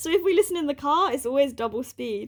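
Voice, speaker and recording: With a British accent and lively intonation, a woman talks at a fairly quick pace. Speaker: podcast co-host. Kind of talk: casual chat. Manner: fast.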